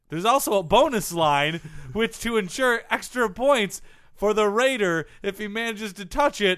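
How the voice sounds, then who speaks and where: A high-pitched man speaks at a moderate pace. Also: very clean recording, silent background. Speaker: sports comedy podcast co-host. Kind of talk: casual comedy banter.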